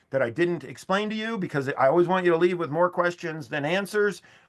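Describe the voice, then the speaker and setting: At a fairly quick pace, a man speaks at a high pitch in a bright, sharp tone, over a quiet background. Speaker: building code trainer. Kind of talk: lecture. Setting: video call. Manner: fast.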